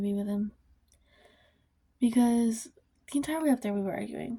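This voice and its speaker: The recording of this woman is very clean, with a silent background. Her tone is dark and mellow and somewhat breathy. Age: young. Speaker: vlogger. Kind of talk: casual chat. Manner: fast.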